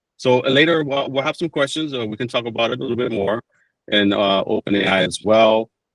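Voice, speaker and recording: Talking at a very fast pace with a strong Dominican accent, a man with a medium pitch shows ordinary pitch variation. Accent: thick Dominican. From Dominican Republic. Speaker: PBX support engineer. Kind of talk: webinar tutorial. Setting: online webinar.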